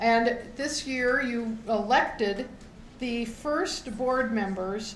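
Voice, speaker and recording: A woman at a very slow pace and fairly high pitch, fairly even intonation, with audible room echo and noticeable background noise. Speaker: co-op founder addressing members. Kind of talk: meeting speech. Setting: meeting hall with audience.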